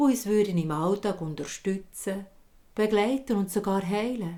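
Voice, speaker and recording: The voice has a dark, mellow tone and a Swiss accent. The pace is fairly slow. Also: woman. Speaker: storyteller. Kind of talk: fairy tale storytelling.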